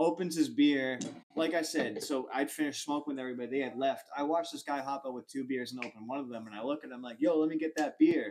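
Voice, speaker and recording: A man with a Boston accent talks at a very fast pace with hardly any pauses. His loudness swings widely. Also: fairly high pitch for a man. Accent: American (Boston area). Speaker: comedian podcast host. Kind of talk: casual chat, storytelling. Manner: animated.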